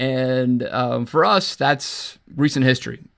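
A man with an American accent, fairly even in intonation, on a very clean recording with a silent background. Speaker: sports podcast host. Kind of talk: casual chat. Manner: halting.

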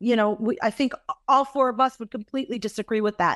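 In a plain, everyday voice, a woman with an American accent speaks at a fairly high pitch with ordinary pitch variation, recorded dry and close with no echo against a quiet background. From Massachusetts, US. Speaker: cruise line executive. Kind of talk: interview conversation.

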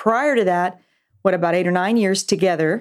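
In a very clean recording with a silent background, a woman uses an unremarkable speaking voice at medium pitch with ordinary pitch variation. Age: 50s. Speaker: pastor. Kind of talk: casual chat.

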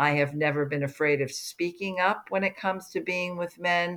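Pitched fairly low, a woman with an American accent speaks with fairly even intonation in a plain, everyday voice. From US Northeast, New Jersey (Livingston). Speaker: career coach and author. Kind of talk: interview.

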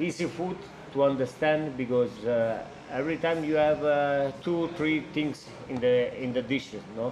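A man with an Italian accent at a fairly slow pace. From Italy, Albano Laziale near Rome. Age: 30s. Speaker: chef. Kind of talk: interview conversation. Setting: trattoria. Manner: halting.

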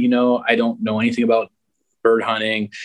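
A man with an ordinary speaking voice, medium in pitch, with fairly even intonation and a quiet background. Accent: American. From upstate New York, Buffalo region. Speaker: outdoor retail employee and field trial dog handler. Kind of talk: casual interview chat.

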